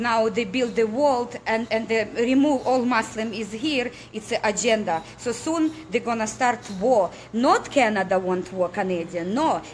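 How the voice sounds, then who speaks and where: Over noticeable background noise, a woman with a fairly high pitch talks at a fairly slow pace with ordinary pitch variation. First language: not English. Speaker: political activist. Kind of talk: impassioned appeal to viewers. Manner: halting, with stumbles and repetitions.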